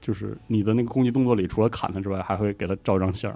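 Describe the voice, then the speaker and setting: Over music in the background, a man talks at a very fast pace in a fairly low voice with fairly even intonation. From Northeast China. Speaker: podcast co-host. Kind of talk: casual chat. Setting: studio.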